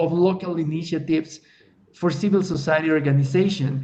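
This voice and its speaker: A man with a Spanish accent, high pitch and fairly even intonation, talking at a fairly quick pace amid noticeable background noise. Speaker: LGBT activist, NGO worker. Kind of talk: webinar presentation. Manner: halting.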